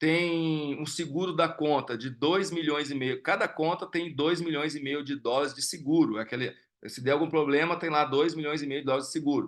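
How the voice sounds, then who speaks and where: The speaker keeps a moderate pace with hardly any pauses. Intonation stays fairly even. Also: man, fairly high pitch for a man. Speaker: investment educator. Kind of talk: live online class with Q&A. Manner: halting, many fillers and repetitions.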